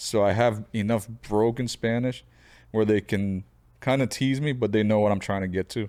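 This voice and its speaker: A man with an American accent and an unremarkable speaking voice, fairly low pitch, ordinary pitch variation and a moderate pace, in a very clean recording with a silent background. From Florida, US. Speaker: podcast guest, host's husband. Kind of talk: casual chat.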